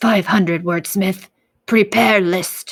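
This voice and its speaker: A woman uses a put-on character voice that is raspy and medium in pitch. She speaks at a fairly slow pace. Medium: read story. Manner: clipped, broken grammar, slow and menacing.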